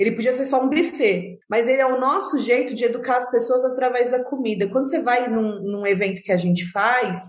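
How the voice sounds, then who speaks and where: A woman's speech, delivered at a moderate pace with ordinary pitch variation, comes through noticeable background noise. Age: 30s. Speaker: psychologist and social entrepreneur. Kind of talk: interview conversation.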